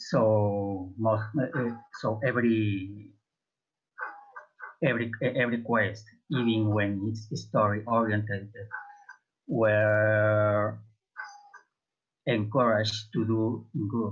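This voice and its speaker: Very slow, non-native accented speech with long, frequent pauses, fairly even intonation and audible room echo. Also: man, fairly low pitch for a man. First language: not English. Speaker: MMO roundtable panelist. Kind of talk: casual panel discussion. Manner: halting, many hesitations.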